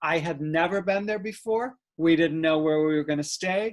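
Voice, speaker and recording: Here a man speaks at a high pitch with ordinary pitch variation. His pace is moderate. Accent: American. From US Midwest (Rockford, Illinois). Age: 60s. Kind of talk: casual interview chat.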